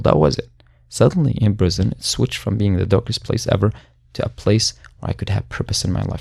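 A man talks at a very fast pace in an Arabic accent. His voice has vocal fry. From Syria. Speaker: human rights advocate and former prisoner. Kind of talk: interview. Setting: studio.

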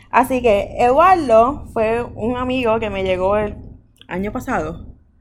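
Audible room echo surrounds a woman with a fairly high pitch. She speaks at a very slow pace with big swings in loudness. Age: 20s. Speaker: podcast host. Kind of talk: casual chat.

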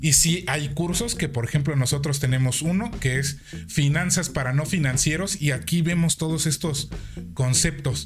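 Speaking in a Mexican accent, a man with a fairly high pitch keeps a moderate pace and ordinary pitch variation amid audible room echo. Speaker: podcast host. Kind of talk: casual chat. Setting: live-streamed podcast.

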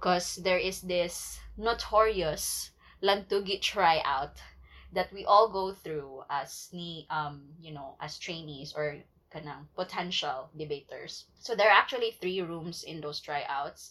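A woman with a Cebuano accent speaks very slowly in a fairly low pitch, her pitch moving an ordinary amount while her loudness swings widely. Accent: Cebuano Filipino English. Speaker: podcast co-host. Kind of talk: casual chat.

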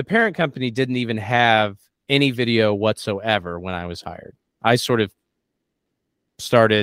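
Recorded with a dry, close sound and no echo, a man at medium pitch speaks with ordinary pitch variation and long, frequent pauses. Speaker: comedy writer and performer. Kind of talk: casual interview. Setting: online interview. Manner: fast.

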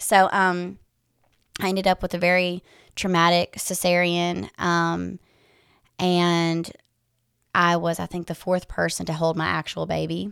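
A woman speaks in a Tennessee accent at a fairly slow pace. Her delivery has long, frequent pauses. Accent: Southern US (Tennessee). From West Tennessee. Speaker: doula and energy healer. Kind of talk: casual interview chat.

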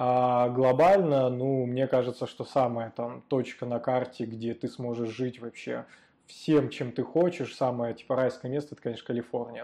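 With fairly even intonation, a man speaks at a moderate pace in a dark, mellow voice of medium pitch. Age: young. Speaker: frontend developer and podcast host. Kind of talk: interview, casual chat.

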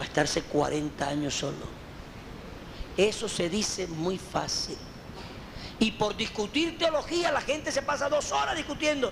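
The speaker talks at a moderate pace with very wide swings in pitch. The room echo is audible, and there is noticeable background noise. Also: man. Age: 50s. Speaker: pastor. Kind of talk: teaching session answering questions from congregation.

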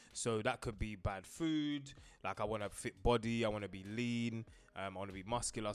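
Here a man talks with a London accent. His pace is fairly quick. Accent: London multicultural English. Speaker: podcast co-host. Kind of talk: casual chat. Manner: animated.

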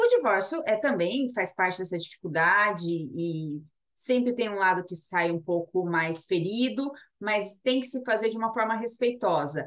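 Lively intonation marks a woman with an ordinary speaking voice. Her medium pitch comes at a fairly slow pace. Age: 30s. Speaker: labour lawyer, podcast co-host. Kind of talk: casual legal chat.

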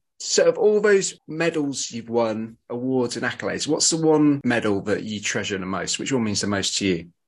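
A medium-pitched man with a British accent, lively intonation, hardly any pauses and a moderate pace, against a quiet background. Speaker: podcast host.

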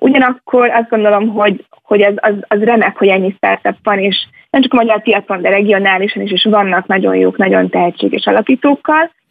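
A woman speaks at a fairly quick pace with hardly any pauses, in a normal speaking voice. Her pitch is medium with ordinary pitch variation. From Hungary, Budapest. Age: young. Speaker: venture capital investor. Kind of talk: radio interview.

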